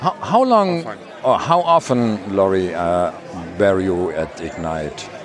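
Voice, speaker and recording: A man with a German accent speaks at a very slow pace against noticeable background noise. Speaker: podcast co-host. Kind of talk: casual chat. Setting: booth at a conference.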